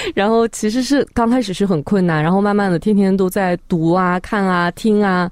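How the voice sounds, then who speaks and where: An ordinary speaking voice from a woman at a medium pitch, moderate pace with hardly any pauses, ordinary pitch variation and very even loudness. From Xinjiang, northwest China. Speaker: social media video creator. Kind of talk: radio interview.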